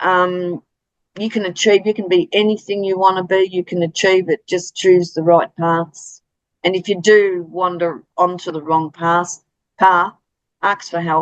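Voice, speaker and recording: A woman with an Australian accent speaks at a fairly slow pace in a monotone, flat intonation. The sound is dry and close, with no echo. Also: medium pitch for a woman. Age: 60s. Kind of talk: interview. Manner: hesitant, many fillers.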